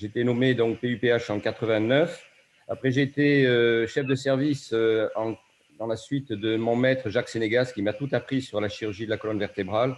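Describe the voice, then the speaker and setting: In a normal speaking voice, a man talks at medium pitch and a moderate pace with fairly even intonation. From southwest France, Bayonne (Basque Country). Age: 60s. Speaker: surgeon. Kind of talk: acceptance speech. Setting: video call.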